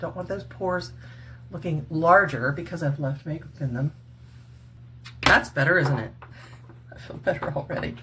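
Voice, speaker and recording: Over noticeable background noise, a woman with a very deep, low pitch talks at a moderate pace with ordinary pitch variation, big swings in loudness and long, frequent pauses. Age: 60s. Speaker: retired cosmetics worker and faith vlogger. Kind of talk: makeup tutorial. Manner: casual, chatty.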